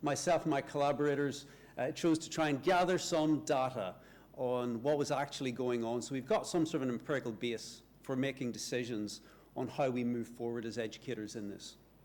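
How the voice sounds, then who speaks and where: A man with a Northern Irish accent speaks at a fairly quick pace with ordinary pitch variation on a very clean recording with a silent background. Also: medium pitch for a man. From Northern Ireland. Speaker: university lecturer, researcher. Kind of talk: conference talk.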